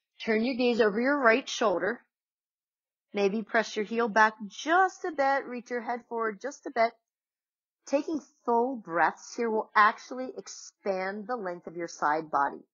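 Calm and soothing, a woman's fairly high voice moves through very wide pitch swings at a fairly slow pace over a quiet background. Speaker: yoga instructor. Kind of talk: guided yoga class. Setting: home video recording. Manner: calm, soothing, and instructional; warm and encouraging. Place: home room. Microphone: camera far.

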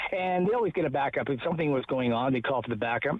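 Speaking at a very fast pace, a man uses lively intonation and a fairly high pitch with a Canadian accent. The sound is dry, with no echo. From Ontario, Canada. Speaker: newspaper reporter; local newspaper reporter. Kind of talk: casual chat. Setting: phone call outdoors. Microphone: phone line.

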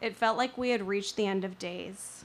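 At a moderate pace, a plain, everyday voice speaks with fairly even intonation. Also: woman. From Northern California, rural mountains. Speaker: storyteller. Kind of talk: storytelling performance.

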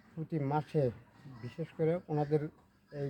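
The man's voice sits at a fairly high pitch and is somewhat breathy. Its tone is dark and mellow. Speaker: villager. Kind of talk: street interview.

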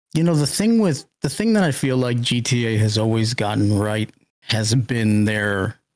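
A man with a plain, everyday voice speaks at a fairly slow pace, at medium pitch with ordinary pitch variation. His loudness stays very even, and the recording is very clean with a silent background. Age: middle-aged. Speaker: Twitch streamer. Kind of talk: casual interview.

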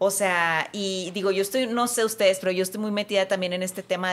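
A woman speaks at a very fast pace. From Mexico. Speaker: podcast host. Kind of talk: interview. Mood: warm, emotional, animated. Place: studio. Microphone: studio mic.

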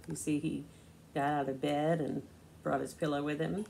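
A woman speaks at a low pitch and a moderate pace, with little pitch movement. Her tone is slightly mellow, with vocal fry.

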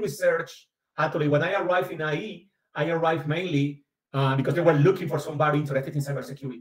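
In a Caribbean Colombian accent, a man with a fairly high pitch talks at a very fast pace, with audible room echo over a quiet background. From Caribbean coast of Colombia. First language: Spanish. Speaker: business school professor and researcher. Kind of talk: academic seminar talk. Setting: video call. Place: home room. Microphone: webcam.

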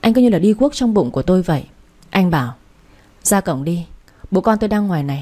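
The speaker is a woman. Her voice sits fairly low in pitch. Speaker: radio story narrator. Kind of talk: audiobook story narration. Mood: calm, gentle storytelling. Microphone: studio mic.

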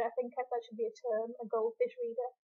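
The voice is quiet. Its intonation stays fairly even. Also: woman. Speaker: book reviewer. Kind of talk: casual talk to camera.

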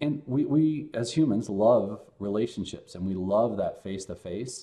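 A man's fairly low-pitched voice with a dark, mellow tone. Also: ordinary pitch variation, moderate pace.

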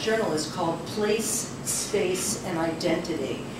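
A woman's voice carries audible room echo, with noticeable noise in the background. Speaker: poet reading her work. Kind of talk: poetry reading. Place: cafe.

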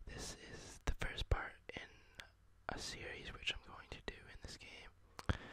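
The words come in a whisper at a fairly slow pace. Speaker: gameplay commentator. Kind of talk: casual gameplay commentary, ASMR let's play. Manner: whispered, soft. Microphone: studio mic.

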